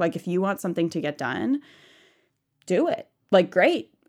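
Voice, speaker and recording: With an American accent, a woman talks at a moderate pace in a normal speaking voice, her pitch fairly low, on a very clean recording with a silent background. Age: 20s. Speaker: seminary student. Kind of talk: interview conversation.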